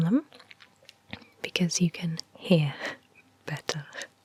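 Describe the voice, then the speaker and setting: Soft-spoken delivery over noticeable background noise. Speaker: ASMR creator. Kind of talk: ASMR tutorial. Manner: slow.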